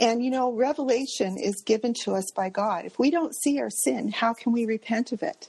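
A woman's dark, mellow voice with a Canadian accent and ordinary pitch variation. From Canada. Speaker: small business owner. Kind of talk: testimony. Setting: video call.

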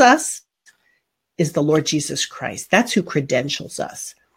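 A woman speaks at a fairly slow pace in a somewhat breathy voice, recorded very cleanly against a silent background. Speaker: podcast host and homeschooling educator. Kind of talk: casual conversational teaching chat. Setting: live video stream.

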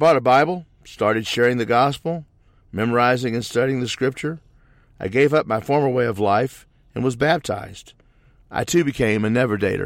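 The very clean recording, with a silent background, captures a man with an unremarkable speaking voice and an American accent, speaking in a medium pitch at a fairly quick pace with ordinary pitch variation. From US Midwest, southeast Missouri. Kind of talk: testimony. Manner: scripted, read-aloud delivery.

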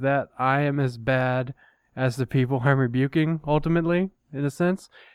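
In a dry, close recording with no echo and a quiet background, a man with an unremarkable speaking voice talks at a moderate pace and medium pitch, his intonation fairly even. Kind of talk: casual chat. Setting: studio.

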